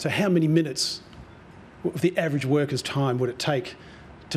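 Somewhat breathy, a man talks with ordinary pitch variation against light background noise. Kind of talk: formal speech. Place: hall. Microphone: podium.

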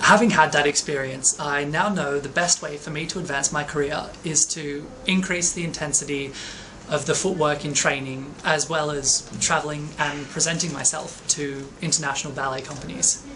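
A man with an Australian accent, fairly high-pitched, at a moderate pace and with fairly even intonation, over noticeable background noise. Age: 20s. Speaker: ballet dancer. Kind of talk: personal narration. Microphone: webcam.

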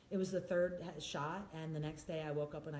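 With an American accent, a woman speaks at a moderate pace in a very deep, low pitch, her tone dark and mellow and somewhat breathy, her intonation fairly even, over light background noise and audible room echo. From US Northeast, New York or Philadelphia. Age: 50s. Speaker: wellness speaker living with MS. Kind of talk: casual chat. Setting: video recorded at host's home. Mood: candid, reflective. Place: home room.

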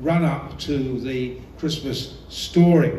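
There is audible room echo and light background noise as a man speaks with fairly even intonation. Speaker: visiting preacher. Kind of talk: sermon. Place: hall.

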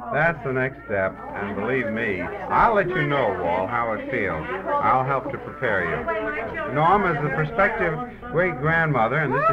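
Loud background noise behind a man's fairly slow speech. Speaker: family host interviewing relatives. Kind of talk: party interview chat. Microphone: old recording.

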